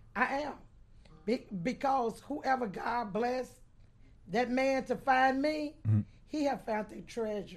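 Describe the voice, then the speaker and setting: A woman talks at a very slow pace, with long, frequent pauses. Her pitch is high and her intonation lively. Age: 60s. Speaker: host's cousin, audience member. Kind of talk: casual chat. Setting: cigar lounge.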